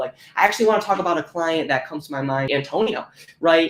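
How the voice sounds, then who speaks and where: An animated man, fairly high in pitch with ordinary pitch variation, at a fairly quick pace over noticeable background noise. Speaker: fitness coach. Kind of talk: live online class. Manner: fast.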